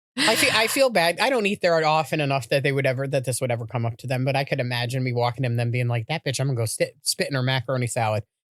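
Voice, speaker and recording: Very fast speech from a man, with hardly any pauses. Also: medium pitch for a man, ordinary pitch variation. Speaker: podcast co-host. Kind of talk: casual chat.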